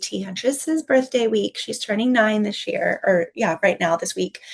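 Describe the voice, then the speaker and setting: Her voice is fairly high-pitched and somewhat breathy, with an American accent. The woman keeps a moderate pace and ordinary pitch variation. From US South (Texas and Tennessee) with childhood summers in Finland. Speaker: tea business owner and teacher. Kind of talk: online workshop talk. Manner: conversational with frequent fillers.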